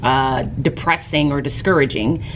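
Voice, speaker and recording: A woman with an American accent speaks at a very deep, low pitch, with noticeable background noise behind her. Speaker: teacher and vlogger. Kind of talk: casual vlog talk to camera. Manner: fast.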